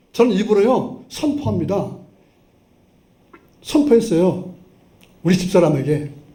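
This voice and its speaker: High-pitched male voice, animated in tone with very wide pitch swings, at a fairly slow pace with long, frequent pauses, in audible room echo. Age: 70s. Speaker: pastor. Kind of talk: sermon. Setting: church.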